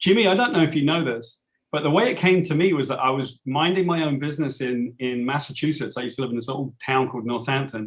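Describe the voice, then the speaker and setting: Someone with a British accent talks at a very fast pace with hardly any pauses and ordinary pitch variation. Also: man, fairly high pitch for a man. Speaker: comic book writer. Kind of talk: interview.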